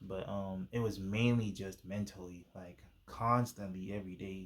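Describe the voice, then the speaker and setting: A man's fairly low voice with fairly even intonation on a very clean recording with a silent background. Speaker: YouTuber sharing faith testimony. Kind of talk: testimony. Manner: fast; casual, halting with fillers.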